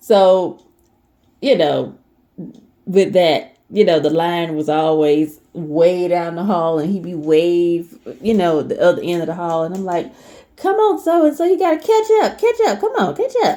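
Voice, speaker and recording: With an American accent, a woman speaks at a fairly slow pace. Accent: Southern US dialect, comes out sometimes. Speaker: lifestyle vlogger, former teacher. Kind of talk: casual talk to camera. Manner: hesitant, many fillers.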